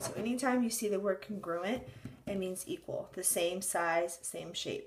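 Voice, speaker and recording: At a moderate pace, a woman talks in a plain, everyday voice at medium pitch, with ordinary pitch variation. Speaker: math teacher. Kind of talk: tutorial.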